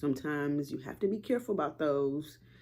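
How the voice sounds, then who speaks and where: A woman with a Southern US accent, her very deep, low voice dark and mellow in tone, at a moderate pace. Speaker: vlogger. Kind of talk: casual vlog talk to camera. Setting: at home, front room.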